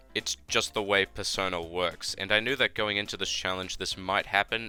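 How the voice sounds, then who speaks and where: A man speaks at a fairly quick pace in a fairly low pitch. Music plays in the background. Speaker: gaming YouTuber. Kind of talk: game commentary voiceover.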